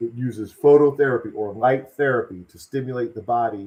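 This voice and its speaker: The man keeps a moderate pace. There's an ordinary amount of variation in his pitch. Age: 60s. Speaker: wellness product seller. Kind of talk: live stream sales pitch; casual chat. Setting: live video stream. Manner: animated.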